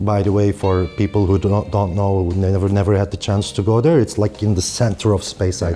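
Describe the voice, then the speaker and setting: Over noticeable background noise, a man with fairly low pitch talks with fairly even intonation and hardly any pauses. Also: fairly quick pace, very even loudness. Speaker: whisky blogger and author. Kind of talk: interview.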